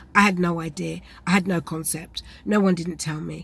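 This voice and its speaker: A woman with a British accent speaks at a fairly low pitch with vocal fry. Her intonation is fairly even and her pace moderate. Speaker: vlogger with chronic illness. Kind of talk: personal health vlog.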